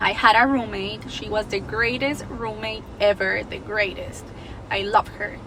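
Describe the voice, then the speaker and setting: A woman speaks at a fairly slow pace in a Spanish accent. Her pitch variation is ordinary, and there is noticeable background noise. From Mexico, Guadalajara. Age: 20s. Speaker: vlogger. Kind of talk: personal storytelling vlog. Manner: casual, chatty.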